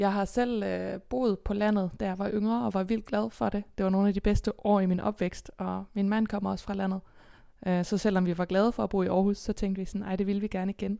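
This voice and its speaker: A woman's medium-pitched voice, dark and mellow in tone, fairly quick, with monotone, flat intonation. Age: 20s. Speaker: folk high school teacher. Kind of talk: interview.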